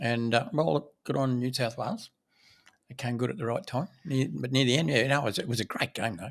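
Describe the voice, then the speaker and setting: A man speaks at a fairly quick pace with an Australian accent. His medium-pitched voice shows vocal fry and lively intonation. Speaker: property developer, podcast co-host. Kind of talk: casual chat.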